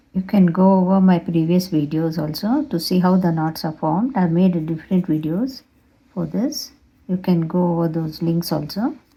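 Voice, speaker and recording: Somewhat breathy and dark and mellow in tone, a woman speaks at a fairly low pitch with ordinary pitch variation. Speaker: craft tutorial creator. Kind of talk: tutorial. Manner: slow.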